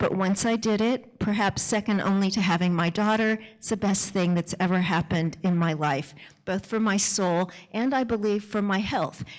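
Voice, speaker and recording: A woman speaks at a moderate pace in a normal speaking voice. Her pitch is medium, with ordinary pitch variation. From US. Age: 60s. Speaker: author and speaker. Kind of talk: talk to an audience. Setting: stage with audience.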